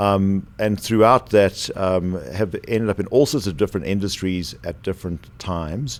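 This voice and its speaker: A man's fairly low voice with a South African accent, at a moderate pace with hardly any pauses. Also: ordinary pitch variation. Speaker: former aerospace company executive. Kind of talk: podcast interview.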